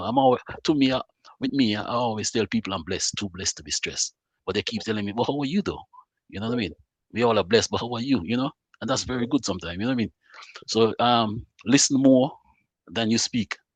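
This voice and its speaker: This man talks at a very fast pace broken by long, frequent pauses, using medium pitch with ordinary pitch variation, and the sound is dry and close with no echo. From Montserrat. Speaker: mental health advocate. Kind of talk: interview answer. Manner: warm, conversational.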